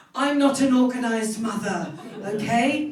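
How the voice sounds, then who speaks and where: With a British accent, a woman speaks with ordinary pitch variation. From United Kingdom. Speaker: stand-up comedian. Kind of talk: stand-up comedy set.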